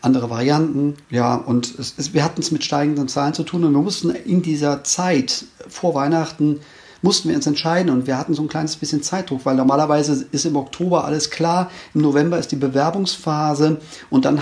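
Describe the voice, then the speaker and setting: Intonation stays fairly even as the speech runs at a fairly quick pace. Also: man. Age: 50s. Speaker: race organizer and ultrarunner. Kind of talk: interview. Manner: hesitant, many fillers.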